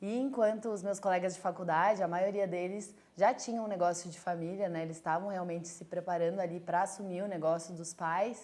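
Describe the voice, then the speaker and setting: A woman talks at a fairly quick pace with hardly any pauses, using a normal speaking voice at medium pitch with fairly even intonation and big swings in loudness. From southern Brazil, Rio Grande do Sul (Caxias do Sul). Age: 30s. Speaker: entrepreneur, brewery co-founder. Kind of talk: personal testimony. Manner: casual, with frequent fillers.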